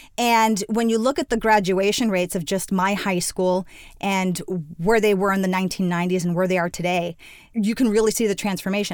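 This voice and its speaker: An unremarkable speaking voice with an American accent and ordinary pitch variation. The recording is very clean, with a silent background. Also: woman. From Miami, Florida (Cuban American). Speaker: education nonprofit executive. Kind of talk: interview conversation.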